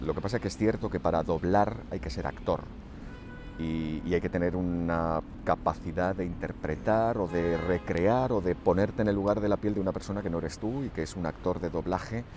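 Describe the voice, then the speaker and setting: Music plays behind a man whose voice is very deep and low. He speaks at a moderate pace with ordinary pitch variation. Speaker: radio broadcaster and dubbing actor. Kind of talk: radio interview answer about his career.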